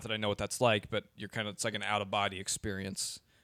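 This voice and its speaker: Dry and close with no echo, a man speaks at a fairly low pitch and fairly quick pace. He has an ordinary speaking voice, and the recording is very clean with a silent background. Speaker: podcast host guest. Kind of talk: casual chat.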